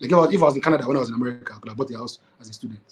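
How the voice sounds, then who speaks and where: A man is talking at a very fast pace. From Nigeria. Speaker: entrepreneur. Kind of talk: casual chat. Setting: podcast recording. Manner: halting, many repetitions.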